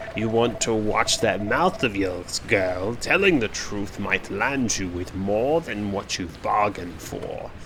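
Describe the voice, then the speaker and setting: Against loud background noise, a man does a put-on character voice at a fairly low pitch and a fairly slow pace. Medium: game stream. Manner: gruff, condescending.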